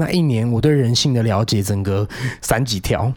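A man's dark, mellow tone. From Taiwan, Penghu. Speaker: after-school program teacher. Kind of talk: casual chat.

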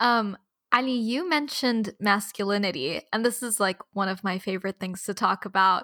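Heard in a dry, close sound with no echo, a woman speaks at a fairly high pitch in a bright, sharp tone. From Abu Dhabi, UAE. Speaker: podcast host. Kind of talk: casual chat; scripted outro.

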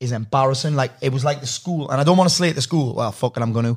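This man's voice is somewhat breathy. His pitch varies in an ordinary way. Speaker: podcast host and coach. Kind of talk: casual chat.

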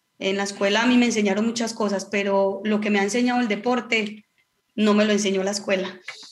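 At a very fast pace, a woman speaks at a medium pitch in a flat monotone, with audible room echo. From Colombia, Antioquia (Marinilla). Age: 30s. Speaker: professional footballer. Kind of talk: casual chat.

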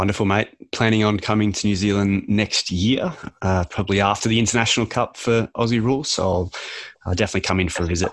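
Against a quiet background, a man with a fairly low voice speaks very fast, keeping his loudness very even and his intonation fairly even. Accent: Australian. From Australia (Canberra). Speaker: podcast host. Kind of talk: interview.

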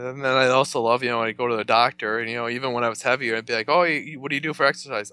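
A man with an American accent, bright and sharp in tone, at a very fast pace. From western New York (north of Buffalo). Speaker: amateur runner. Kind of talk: casual interview. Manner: laid-back.

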